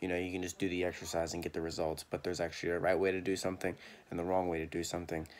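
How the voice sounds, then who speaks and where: With light background noise behind him, a man speaks at a very deep, low pitch. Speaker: fitness vlogger. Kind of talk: casual vlog chat.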